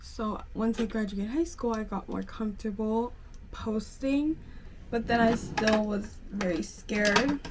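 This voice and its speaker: A woman talks at a fairly slow pace in a fairly high voice with ordinary pitch variation. Noticeable background noise runs underneath. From Pennsylvania, US. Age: 20s. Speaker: lifestyle vlogger. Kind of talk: casual get-ready-with-me vlog chat. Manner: chatty, filler-heavy.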